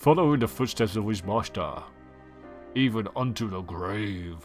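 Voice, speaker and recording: A man puts on a character voice at a fairly low pitch, with lively intonation and a moderate pace over faint background music. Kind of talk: posh, formal, old-fashioned.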